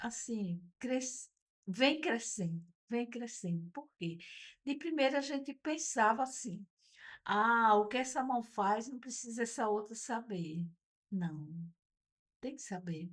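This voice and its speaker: Very slow delivery with long, frequent pauses and lively intonation. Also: woman, fairly high pitch for a woman. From Brazil, Northeast (Natal, Rio Grande do Norte). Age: 70s. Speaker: retired teacher and Rotary member. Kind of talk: podcast interview.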